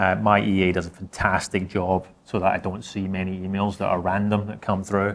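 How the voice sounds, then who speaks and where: Over a very clean recording with a silent background, a man talks in a Scottish accent at a moderate pace. His pitch is fairly low and his intonation monotone and flat. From Scotland. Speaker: insurance technology executive. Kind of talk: panel discussion.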